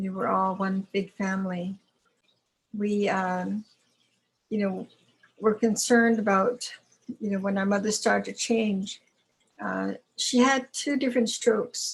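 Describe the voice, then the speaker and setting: Delivery is fairly slow, with long, frequent pauses. The voice is somewhat breathy and the intonation fairly even. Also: woman, medium pitch for a woman. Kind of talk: testimony.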